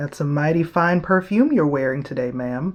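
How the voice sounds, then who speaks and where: A put-on character voice sits at a middle pitch in a gentle tone. The pace is moderate. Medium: read story. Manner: gentle, charming.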